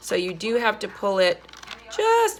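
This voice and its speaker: A woman speaks over noticeable background noise. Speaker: art teacher. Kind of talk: tutorial.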